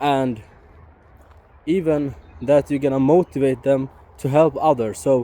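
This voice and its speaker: With a non-native accent, a man of medium pitch speaks at a fairly slow pace. His pitch varies in an ordinary way. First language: not English. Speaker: YouTuber. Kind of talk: casual vlog monologue. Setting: outdoors, walking in forest. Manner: halting, stumbles on words.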